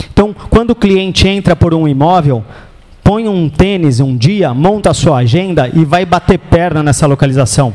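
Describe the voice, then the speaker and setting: Over noticeable background noise, a man with a São Paulo accent speaks at a moderate pace in a fairly high voice. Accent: São Paulo (paulista). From São Paulo, Brazil. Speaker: real estate sales trainer. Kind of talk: lecture. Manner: animated.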